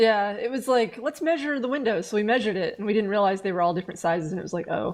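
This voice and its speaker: A woman with a fairly high voice and an American accent speaks very fast with lively intonation. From US South. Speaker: gaming streamer. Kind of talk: casual chat. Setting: live stream.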